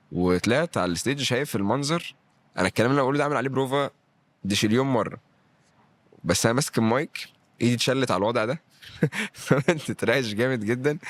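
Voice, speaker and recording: Speech in a Cairo accent comes very fast with lively intonation and an animated tone. The sound is dry and close with no echo. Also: man. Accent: Egyptian Arabic (Cairo). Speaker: stand-up comedian and actor. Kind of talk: podcast interview. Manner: animated, acts out what he says.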